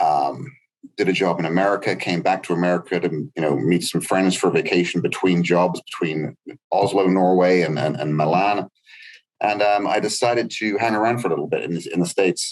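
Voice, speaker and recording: A man with an English accent, very deep and low in pitch, with ordinary pitch variation and a fairly quick pace. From southwest England. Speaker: truck salesman. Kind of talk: podcast interview. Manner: hesitant, many fillers.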